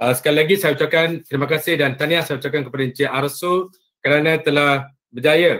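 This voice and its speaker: At a moderate pace, a man with an ordinary speaking voice talks at a fairly high pitch with fairly even intonation. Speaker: head teacher and council president. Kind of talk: welcome speech.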